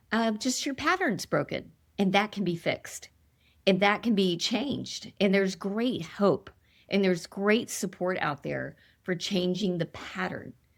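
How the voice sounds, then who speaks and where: On a very clean recording with a silent background, a woman speaks at a fairly slow pace in a medium pitch. Her tone is animated, with vocal fry and ordinary pitch variation. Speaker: author and sobriety coach for women. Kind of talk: interview conversation.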